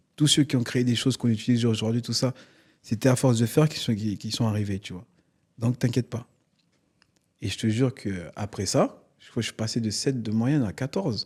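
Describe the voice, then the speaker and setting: This man talks fairly quickly at a medium pitch, somewhat breathy, with ordinary pitch variation and big swings in loudness. The recording is very clean, with a silent background. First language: not French (African language) (speaking French). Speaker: comedian. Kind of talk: interview. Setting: studio. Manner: animated.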